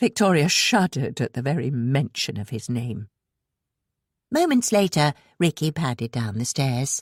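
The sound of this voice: A woman speaks at an extremely low pitch with a slightly husky edge and big pitch swings, at a fairly slow pace. The sound is dry and close with no echo, on a very clean recording with a silent background.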